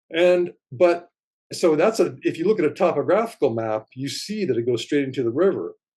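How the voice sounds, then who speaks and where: Lively intonation from a man at a fairly quick pace, his fairly high pitch set against a dark, mellow tone. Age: 60s. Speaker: writer and videographer. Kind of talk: interview. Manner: animated.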